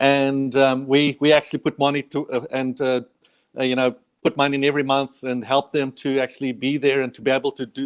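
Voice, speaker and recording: A man with a South African accent talks at a fairly quick pace and fairly high pitch, his intonation flat and monotone. The sound is dry and close, with no echo. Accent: South African, permanent. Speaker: charity worker. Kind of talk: interview. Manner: halting, many repetitions.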